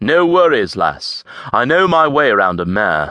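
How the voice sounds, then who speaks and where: Putting on a character voice at a medium pitch, a man speaks at a moderate pace with very wide pitch swings. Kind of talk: casual, dialectal. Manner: smooth, reassuring.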